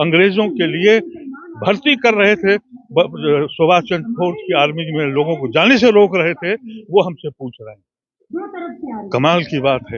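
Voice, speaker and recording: Long, frequent pauses punctuate speech with big swings in loudness and very wide swings in pitch. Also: man. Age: 70s. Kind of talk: interview. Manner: impassioned.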